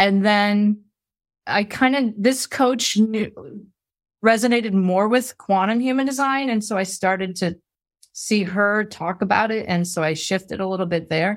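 A plain, everyday voice moves at a fairly slow pace with ordinary pitch variation on a very clean recording with a silent background. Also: woman, medium pitch for a woman. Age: 50s. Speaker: former school teacher and human design coach. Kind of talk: casual interview.

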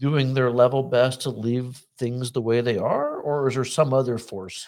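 In a very clean recording with a silent background, a man speaks at a moderate pace and medium pitch in a normal speaking voice. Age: 60s. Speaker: political talk show host. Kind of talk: interview.

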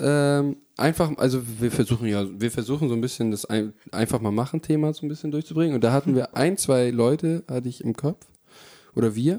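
A man speaks at a moderate pace with a fairly high pitch and a dark, mellow tone. His pitch varies in an ordinary way, and the sound is dry and close with no echo. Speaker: podcast host. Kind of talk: casual chat. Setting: one room, shared recording. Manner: animated.

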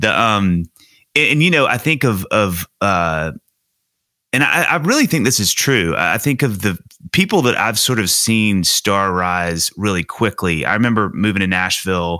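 On a very clean recording with a silent background, a man speaks at a moderate pace with a fairly low pitch, a bright, sharp tone, lively intonation and very even loudness. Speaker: podcast host. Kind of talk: casual interview chat. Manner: excitable, animated.

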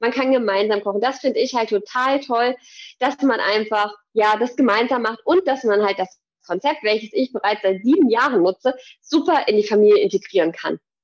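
Here a woman speaks in an unremarkable speaking voice, fairly high in pitch. Her pace is moderate and her pitch variation ordinary. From Hesse, Germany (near Gießen). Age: 30s. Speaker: fitness trainer. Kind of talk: casual interview.

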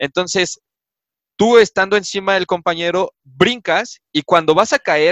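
A man's high-pitched voice at a moderate pace, dry and close with no echo. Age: 20s. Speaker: sports journalist and student. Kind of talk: casual interview.

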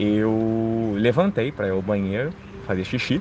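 A man at a very slow pace and medium pitch, over noticeable background noise. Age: 30s. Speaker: storyteller sharing supernatural experiences. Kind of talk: personal testimony.

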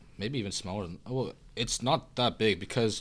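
A man with an ordinary speaking voice, fairly low in pitch, at a moderate pace. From Canada (Korean-born, moved at age one). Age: 18. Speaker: university student. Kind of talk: casual chat.

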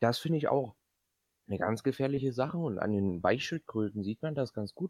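The sound is dry and close, with no echo. A man talks at a moderate pace with lively intonation. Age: 20s. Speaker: podcast host, business student. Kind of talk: casual comedic chat.

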